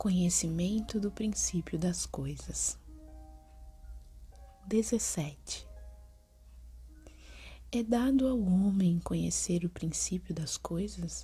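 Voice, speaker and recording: Whispering and soft-spoken, the voice moves at a very slow pace with long, frequent pauses. Music plays in the background. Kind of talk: soft whispered book reading. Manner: soft-spoken, whispered.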